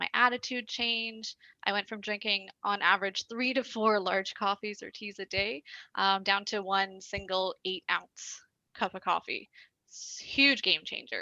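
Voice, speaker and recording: Medium-pitched and bright and sharp in tone, a woman speaks with a Canadian accent and fairly even intonation. The sound is dry and close with no echo, over a quiet background. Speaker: network marketing promoter. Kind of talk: prepared personal testimony. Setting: call-in online meeting. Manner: fast.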